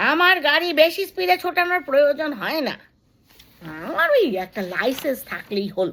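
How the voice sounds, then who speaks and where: In a put-on character voice, a woman projects a high, hoarse sound at a moderate pace with very wide pitch swings. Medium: read story. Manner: blunt.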